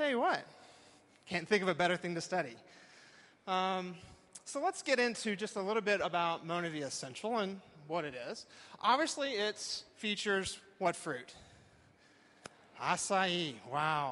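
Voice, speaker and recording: With an American accent, a man with a high pitch uses a raised, projected voice and a bright, sharp tone, his lively intonation broken by long, frequent pauses. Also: moderate pace. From Texas. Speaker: professor. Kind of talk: talk to a live audience. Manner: animated.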